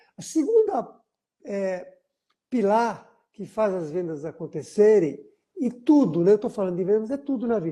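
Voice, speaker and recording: A man speaks at a fairly slow pace in a high pitch with lively intonation. His tone is dark and mellow. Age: 60s. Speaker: business consultant. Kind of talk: business mentoring session. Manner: animated.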